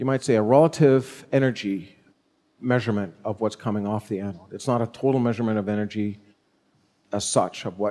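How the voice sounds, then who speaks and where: Speaking at a fairly quick pace, this man has a fairly low pitch, ordinary pitch variation, and an ordinary speaking voice. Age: 60s. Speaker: engineer presenting research. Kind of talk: technical presentation.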